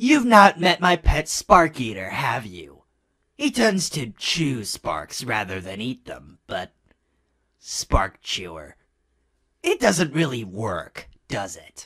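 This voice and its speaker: Putting on a character voice, a man speaks very slowly with very wide pitch swings. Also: medium pitch for a man. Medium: fan dub. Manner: dry, sardonic.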